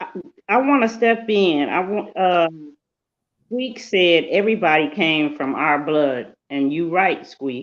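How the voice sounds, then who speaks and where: Very slowly and with lively intonation, a woman speaks at a fairly low pitch. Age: 60s. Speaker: panelist. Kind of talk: casual panel discussion.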